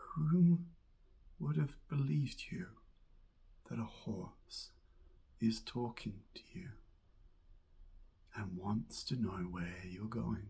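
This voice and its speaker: A man at medium pitch with a dark, mellow, soothing tone, somewhat breathy, with very wide pitch swings, big swings in loudness, long and frequent pauses, and a very slow pace. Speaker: hypnotherapist and mindfulness coach. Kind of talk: hypnotic guided visualization narration. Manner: slow, soothing.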